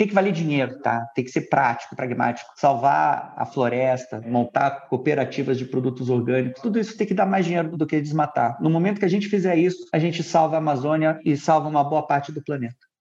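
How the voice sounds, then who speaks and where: At a fairly quick pace and with hardly any pauses, a man speaks in a plain, everyday voice pitched fairly high. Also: ordinary pitch variation. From Rio de Janeiro, raised in São Paulo. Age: 40s. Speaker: climate tech founder and CEO. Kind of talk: remote podcast interview. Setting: recording remotely from home.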